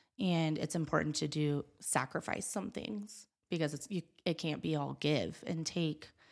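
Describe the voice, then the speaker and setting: The speaker has an American accent with vocal fry and ordinary pitch variation. The recording is very clean, with a silent background. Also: woman, very deep, low pitch for a woman, moderate pace. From Wyoming, US (Gillette). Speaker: photographer. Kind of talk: casual chat. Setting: studio.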